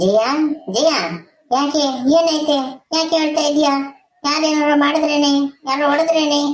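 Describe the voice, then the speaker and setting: A woman does a cartoonish character voice, high-pitched and with fairly even intonation. She talks at a fairly slow pace, with audible echo. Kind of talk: village comedy cartoon. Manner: easygoing, joking.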